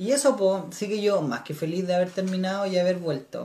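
Noticeable background noise accompanies a man who speaks at a high pitch and a moderate pace. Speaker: podcast host. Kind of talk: casual chat.

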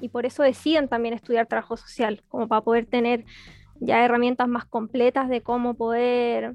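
A woman at a high pitch with a Chilean accent, monotone and flat, at a moderate pace, dry and close with no echo against a quiet background. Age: 20s. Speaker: social work graduate student and party activist. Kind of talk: interview.

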